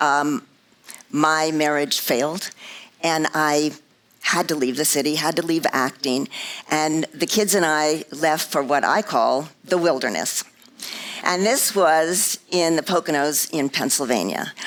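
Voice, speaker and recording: Over noticeable background noise, a woman with an American accent talks fairly slowly in a very deep, low voice with ordinary pitch variation. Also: very even loudness. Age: 70s. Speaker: motivational speaker, former Broadway dancer. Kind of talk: inspirational talk.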